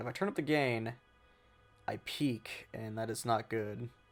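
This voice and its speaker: There is music in the background. A man speaks at a medium pitch. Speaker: gaming youtuber. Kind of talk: gameplay commentary. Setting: home room, not sound treated. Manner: monotone; rambling, casual.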